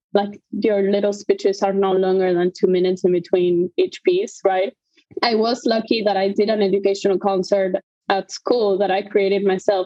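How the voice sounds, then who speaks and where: A woman speaks at a moderate pace and medium pitch, with fairly even intonation and very even loudness, over music in the background. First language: not English. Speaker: conductor. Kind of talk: interview. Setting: live podcast.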